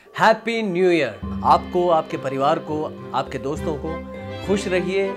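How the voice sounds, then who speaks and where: A man speaks very slowly in a fairly high voice with very wide pitch swings. Clear music plays in the background. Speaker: voice actor. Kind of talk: greeting message. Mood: warm, cheerful. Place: home room.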